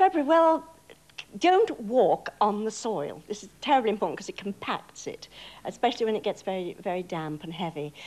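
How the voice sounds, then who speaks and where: With a slight Bristol accent, a woman speaks at a fairly quick pace and swings her pitch very widely. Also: medium pitch for a woman, big swings in loudness. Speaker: stage actress. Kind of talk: tv interview.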